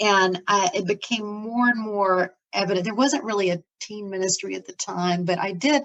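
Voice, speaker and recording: A woman speaks at a moderate pace in a normal speaking voice, medium in pitch with ordinary pitch variation, hardly any pauses and big swings in loudness. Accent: American. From Florida, US South. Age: 60s. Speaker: ministry leader. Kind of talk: interview, life story.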